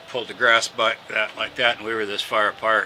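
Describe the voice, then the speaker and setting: Over noticeable background noise, a man with an American accent speaks in a fairly low pitch with monotone, flat intonation. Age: 70s. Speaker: war veteran. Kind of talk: interview testimony. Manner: halting, many fillers.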